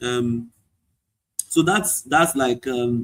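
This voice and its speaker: A man with a Nigerian accent. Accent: Nigerian (Yoruba) English. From Nigeria, Ado Ekiti then Lagos. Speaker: chemical engineer and author. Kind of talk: interview.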